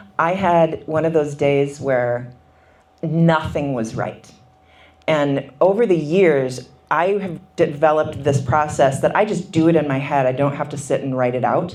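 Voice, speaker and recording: A woman speaks at a fairly slow pace with a very deep, low pitch, ordinary pitch variation and an American accent. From Minnesota. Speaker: author. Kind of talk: book talk interview. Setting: book signing event.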